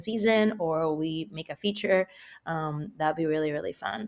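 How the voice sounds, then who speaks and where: The woman talks in a Spanish accent. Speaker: actor. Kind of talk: interview. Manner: casual, many fillers.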